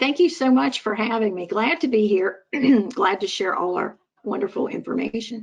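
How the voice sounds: A woman's put-on character voice, fairly high, raspy and hoarse, with very wide pitch swings at a moderate pace.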